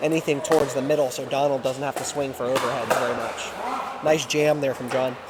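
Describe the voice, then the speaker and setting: Speaking at a fairly quick pace with hardly any pauses, a man with a fairly high pitch keeps a monotone, flat intonation over noticeable background noise. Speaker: pickleball commentator. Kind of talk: live commentary.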